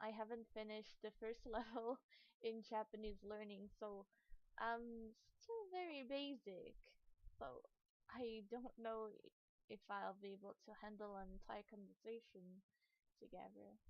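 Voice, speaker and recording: A soft-spoken woman talks at a fairly slow pace, with ordinary pitch variation and long, frequent pauses. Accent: non-native. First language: not English. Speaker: streamer. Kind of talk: casual chat.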